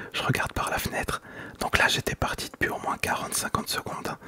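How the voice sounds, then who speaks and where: A man whispers at a fairly quick pace. Noticeable background noise can be heard. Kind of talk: whispered storytime while gaming. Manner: whispered.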